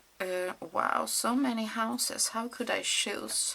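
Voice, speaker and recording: A woman speaks at a very slow pace with a non-native accent. Noticeable background noise runs underneath. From Sweden. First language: Swedish. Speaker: mixed media crafter. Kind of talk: craft tutorial. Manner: halting, many fillers.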